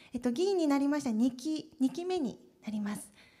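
A woman speaks in a high pitch with a dark, mellow tone. Her pace is moderate, and the background is quiet. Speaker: prefectural assembly member. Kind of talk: panel discussion. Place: hall. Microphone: handheld.

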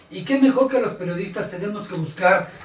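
Noticeable background noise sits behind the voice. Its intonation is lively. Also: man. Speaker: news show co-host and organization president. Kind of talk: casual panel chat. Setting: studio.

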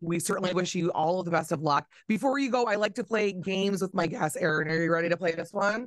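Her voice fairly low in pitch, a woman speaks at a fast pace with ordinary pitch variation.

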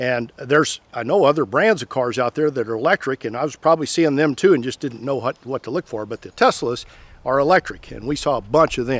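A man with an Ozarks accent talks at a fairly quick pace and medium pitch. His pitch varies in an ordinary way, and the sound is dry with no echo. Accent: Missouri Ozarks rural American. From US Midwest, Missouri Ozarks; Missouri. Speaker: tractor video creator; tractor channel host. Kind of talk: tutorial-style vlog talk to camera. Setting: outdoors by power pole.

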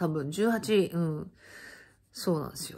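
A woman speaks in an animated tone. The background is quiet. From Japan. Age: 50s. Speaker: channel host sharing life stories. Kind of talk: casual monologue recounting personal life. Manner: animated, chatty, laughing. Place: home room. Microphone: phone near.

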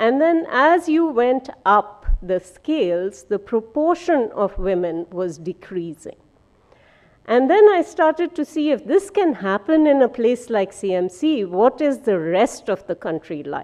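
A woman speaks at a high pitch with very wide pitch swings. Her pace is fairly slow against a quiet background. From India. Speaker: medical scientist; scientist giving lecture. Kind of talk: lecture. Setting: auditorium with audience. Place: hall.

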